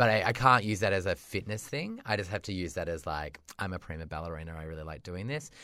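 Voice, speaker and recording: A man with an Australian accent speaks at a very fast pace in a very deep, low pitch, his tone animated and bright and sharp, on a very clean recording with a silent background. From rural Australia. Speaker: podcast co-host. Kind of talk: casual chat.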